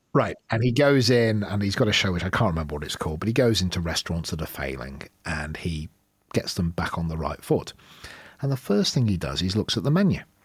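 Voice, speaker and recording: A man with a very deep, low, somewhat breathy voice speaks at a very fast pace with very wide pitch swings. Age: 50s. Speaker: podcast host. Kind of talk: interview.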